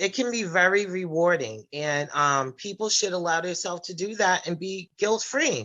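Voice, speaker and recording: She has a plain, everyday voice at a fairly low pitch. This woman speaks at a fairly slow pace with lively intonation. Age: 40s. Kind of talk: personal testimony in group discussion.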